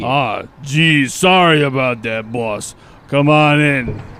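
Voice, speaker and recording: His pace is very slow. The man uses a fairly high pitch in a put-on character voice. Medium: audio drama. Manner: gruff, blunt.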